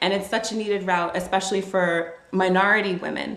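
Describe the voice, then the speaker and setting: Against noticeable background noise and audible room echo, a woman talks with a Brooklyn accent. Her medium-pitched voice moves at a fairly quick pace with monotone, flat intonation. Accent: New York (Brooklyn). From Brooklyn, New York. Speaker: podcast host. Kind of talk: interview.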